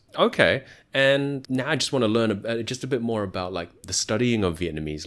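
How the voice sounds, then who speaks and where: Using a plain, everyday voice, a man speaks at medium pitch and a moderate pace with lively intonation. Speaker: podcast host and Vietnamese learner. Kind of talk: casual interview.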